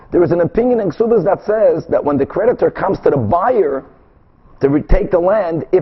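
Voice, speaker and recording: A man's high voice with lively intonation at a moderate pace, over noticeable background noise. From Brazil. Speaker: rabbi teaching Talmud. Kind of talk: lecture.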